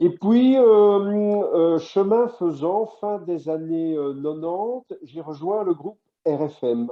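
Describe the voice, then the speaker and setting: A man talks very slowly at a high pitch. His intonation is lively. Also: big swings in loudness. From Belgium, Brussels. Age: 60s. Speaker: radio host. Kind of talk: interview.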